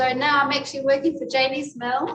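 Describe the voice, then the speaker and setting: In a New Zealand accent, a woman talks at a fairly quick pace. Her pitch is high. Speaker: cooking class teacher. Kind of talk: cooking class.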